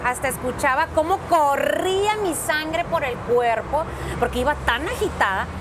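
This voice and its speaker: A woman with a high voice and lively intonation speaks at a fairly slow pace over noticeable background noise. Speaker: radio host. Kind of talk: interview answer.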